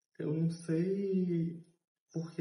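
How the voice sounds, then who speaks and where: A man's voice with audible room echo. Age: 30s. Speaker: journalism student and intern. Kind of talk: interview testimony.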